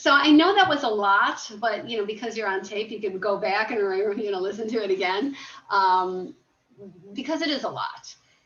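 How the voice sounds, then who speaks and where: Audible room echo surrounds a woman who speaks at a moderate pace in a fairly high pitch with ordinary pitch variation. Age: 60s. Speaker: self-realization coach. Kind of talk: interview.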